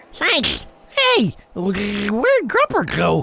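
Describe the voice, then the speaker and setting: A cartoonish character voice at a very slow pace. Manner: hesitant, anxious.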